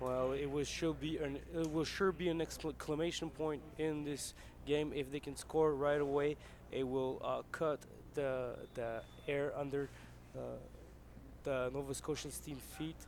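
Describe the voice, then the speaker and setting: The speaker has a Quebec accent, a fairly slow pace and monotone, flat intonation. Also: man, fairly high pitch for a man. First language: French. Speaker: football analyst. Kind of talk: live commentary.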